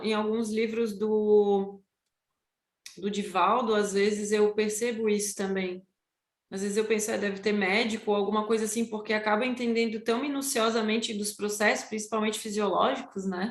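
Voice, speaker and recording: Her voice is fairly high for a woman, with monotone, flat intonation. She speaks at a moderate pace. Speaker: study group member presenting lesson. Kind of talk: study group class.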